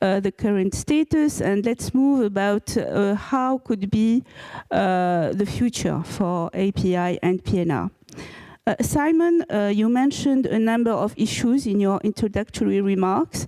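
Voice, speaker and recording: Speaking fairly slowly with a strong French accent, a woman at medium pitch uses lively intonation and very even loudness, the sound dry and close with no echo. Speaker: panel moderator. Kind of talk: panel discussion. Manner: halting, many fillers.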